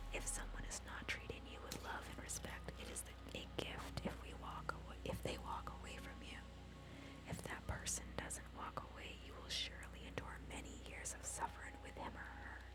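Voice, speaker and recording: Whispering at a moderate pace, the speaker is heard over noticeable background noise. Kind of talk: ASMR whispered book reading. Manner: whispered.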